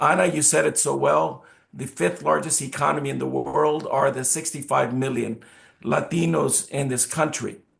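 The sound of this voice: A man puts on a hoarse character voice at a medium pitch. He speaks at a moderate pace.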